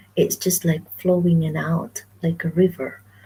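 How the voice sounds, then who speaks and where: Soft-spoken, a woman talks in a fairly low pitch. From Philippines, Western Visayas (Ilonggo). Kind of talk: casual live stream talk to camera.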